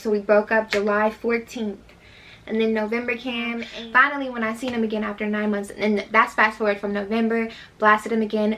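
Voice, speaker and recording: A woman with a fairly high voice speaks at a moderate pace. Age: 20s. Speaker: vlogger. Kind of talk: storytime vlog. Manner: animated.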